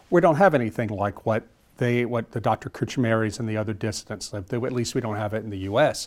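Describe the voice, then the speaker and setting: This man has a plain, everyday voice and an American accent, at medium pitch with ordinary pitch variation. The recording is very clean, with a silent background. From US South, South Louisiana. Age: 50s. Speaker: author. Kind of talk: interview.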